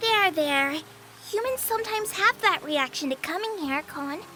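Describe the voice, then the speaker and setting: A female-sounding voice performs a put-on character voice in a cheerful tone with an extremely high pitch at a moderate pace. Clear background noise can be heard. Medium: game stream. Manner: sweet, cheerful, ends lines with "kon".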